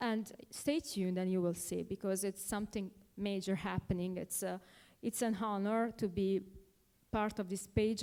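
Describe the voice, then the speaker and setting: A woman with a European accent speaks at a moderate pace and medium pitch, her tone dark and mellow with ordinary pitch variation, in a very clean recording with a silent background. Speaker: speaker, wife of featured guest. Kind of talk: speech at a dinner event.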